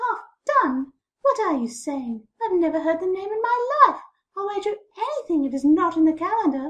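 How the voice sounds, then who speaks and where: Using a put-on character voice, a woman speaks at a moderate pace in an extremely high, squeaky pitch with very wide pitch swings. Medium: read story.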